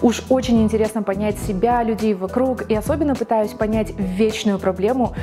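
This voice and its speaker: A woman talks at a fairly quick pace with fairly even intonation while music plays clearly in the background. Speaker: TV presenter, radio and TV announcer graduate. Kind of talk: book recommendation TV show, address to camera. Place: studio.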